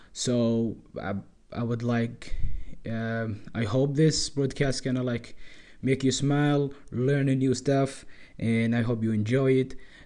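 At a fairly slow pace, a man with a non-native accent speaks at a medium pitch in a dark, mellow tone with monotone, flat intonation. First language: not English. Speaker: podcast host. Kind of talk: casual monologue. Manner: halting.

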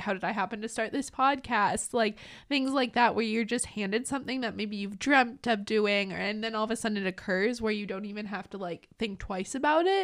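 On a very clean recording with a silent background, a woman with an American accent uses an ordinary speaking voice, talking at a fairly quick pace in a fairly high pitch with fairly even intonation and hardly any pauses. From Minnesota. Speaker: university student, student agency media coordinator. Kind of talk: casual podcast chat.

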